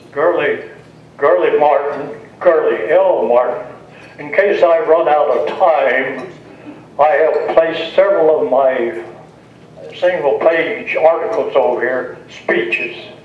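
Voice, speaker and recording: Amid noticeable background noise and audible room echo, a man with an American accent speaks at a very slow pace. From Kentucky, Ohio County. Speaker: political candidate. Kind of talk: campaign speech.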